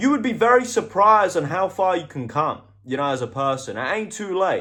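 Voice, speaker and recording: A man with a British accent projects a raised, animated voice, bright and sharp in tone, high-pitched, with very wide pitch swings and a fairly quick pace. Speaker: motivational vlogger. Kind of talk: motivational monologue.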